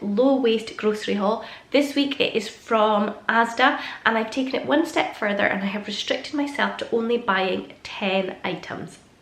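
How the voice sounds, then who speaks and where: A woman with a Scottish accent, fairly high in pitch, at a moderate pace with ordinary pitch variation, amid noticeable background noise and audible room echo. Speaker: stay-at-home mum vlogger. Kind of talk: casual vlog talk to camera.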